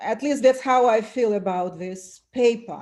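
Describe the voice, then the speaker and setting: A woman with a non-native accent and a fairly high pitch. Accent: foreign. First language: not English. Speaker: self-represented litigant. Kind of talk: court hearing.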